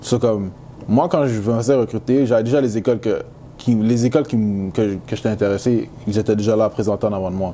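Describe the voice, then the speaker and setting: A man with a Canadian accent speaks fairly quickly at a medium pitch, his intonation fairly even. Noticeable background noise runs behind him. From Quebec, Montreal. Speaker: college football player. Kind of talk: interview. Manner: casual, halting with many fillers.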